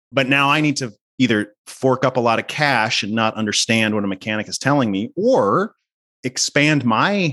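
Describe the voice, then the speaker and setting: Against a quiet background, a man speaks at a moderate pace in a bright, sharp tone with ordinary pitch variation. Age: 40s. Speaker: media editor. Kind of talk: casual interview.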